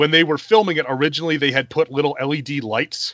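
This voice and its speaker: A man talks at a fairly quick pace with an American accent. He has an ordinary speaking voice, pitched fairly high. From US South, South Carolina. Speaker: podcast host, film reviewer. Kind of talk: casual chat.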